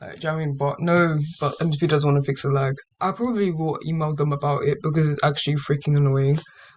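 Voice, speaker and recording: A man speaks at a very fast pace with hardly any pauses, his fairly high, somewhat breathy voice holding fairly even intonation. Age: young. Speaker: gaming YouTuber. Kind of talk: casual talk to camera.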